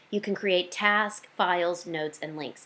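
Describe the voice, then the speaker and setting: Medium-pitched female speech showing ordinary pitch variation. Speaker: direct sales consultant. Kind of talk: tutorial. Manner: fast.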